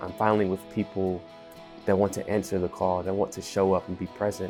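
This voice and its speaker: Music plays in the background while a man talks with ordinary pitch variation. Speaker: restaurant manager. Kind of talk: interview answer.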